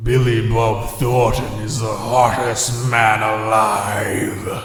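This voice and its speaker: Using a put-on character voice, a man talks very slowly in a raspy, medium-pitched tone with flat, monotone intonation and a clear echo. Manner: menacing.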